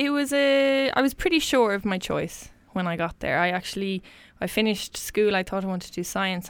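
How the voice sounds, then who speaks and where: A woman with a western Irish accent talks at a fairly quick pace with ordinary pitch variation. The recording is very clean, with a silent background. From Ireland, County Mayo (Westport). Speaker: engineer and solo sailor. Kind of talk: interview.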